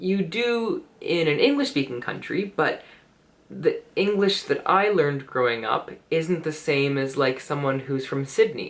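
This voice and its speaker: The speaker has a Canadian accent and talks at a fairly slow pace. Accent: Canadian, similar to American textbook voices. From Canada. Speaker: English teacher and vlogger. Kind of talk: casual vlog monologue. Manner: hesitant, many fillers.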